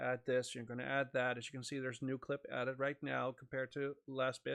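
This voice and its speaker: A man with a Dutch accent is speaking. His pitch is medium and his pace fairly quick. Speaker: content creator. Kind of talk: casual monologue; tutorial. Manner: halting.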